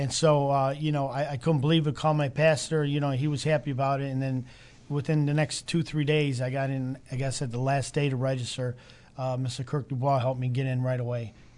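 A man with a Chicago accent talks fairly quickly at a fairly high pitch, his intonation monotone and flat. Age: 50s. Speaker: Bible college student and restaurant owner. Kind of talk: testimony. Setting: studio with live audience.

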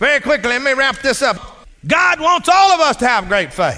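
A man with a Texas accent, an extremely high pitch, a bright, sharp tone, a raised, projected voice, lively intonation and a moderate pace. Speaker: preacher. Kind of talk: sermon.

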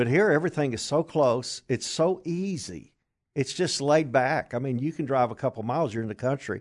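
Against a quiet background, a man with a Kentucky accent talks at a fairly quick pace, his fairly high pitch carried by lively intonation. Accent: Southern US (Kentucky). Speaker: traveling minister. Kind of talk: casual interview chat.

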